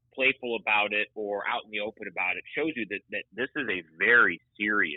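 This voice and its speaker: A man speaks at a fairly slow pace, with medium pitch and an unremarkable speaking voice. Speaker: radio play-by-play announcer. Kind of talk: sports podcast interview answer.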